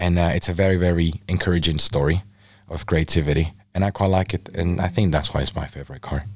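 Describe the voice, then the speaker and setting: Speaking very fast in a very deep, low voice, a man comes through on a very clean recording against a silent background. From Mexico, Baja California. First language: Spanish. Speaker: photographer. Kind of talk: casual interview chat. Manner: animated.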